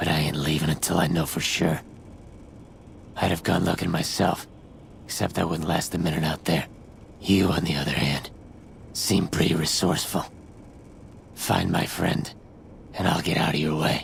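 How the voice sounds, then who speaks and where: A man uses a put-on character voice with a very deep, low pitch and monotone, flat intonation. He keeps a moderate pace with long, frequent pauses, and clear background noise is present. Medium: video game. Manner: sardonic, crude.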